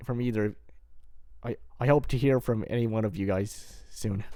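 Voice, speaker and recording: Speaking at a moderate pace, a man has a medium-pitched voice with a dark, mellow tone. His intonation stays fairly even, broken by long, frequent pauses. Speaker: gaming vlogger. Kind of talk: personal monologue vlog. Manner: halting, stuttering; hesitant with many fillers.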